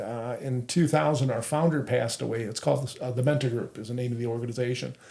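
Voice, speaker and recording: There is noticeable background noise as a man talks at a fairly quick pace with ordinary pitch variation. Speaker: co-founder of adaptive sports group, wheelchair basketball player. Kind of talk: interview conversation.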